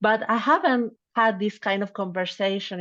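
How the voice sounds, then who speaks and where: A woman with a non-native accent at a moderate pace, over a quiet background. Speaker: legal researcher. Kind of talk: interview. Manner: halting.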